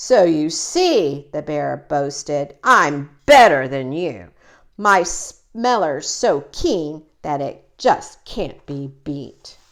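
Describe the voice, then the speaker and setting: A woman's put-on character voice, growling, very deep and low in pitch, at a very slow pace. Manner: boastful.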